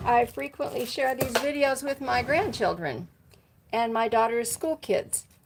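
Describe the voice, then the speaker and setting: A high-pitched woman's voice with an American accent and lively intonation, fairly slow in pace, over noticeable background noise. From Washington State, US. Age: 60s. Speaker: motorcycle vlogger. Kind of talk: casual live stream chat. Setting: garage. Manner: casual, halting with fillers.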